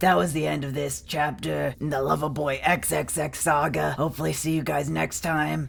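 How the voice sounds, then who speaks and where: In a put-on character voice, raspy and at a moderate pace, the speaker barely pauses. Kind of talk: online forum story reading. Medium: read story. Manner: dry, sardonic.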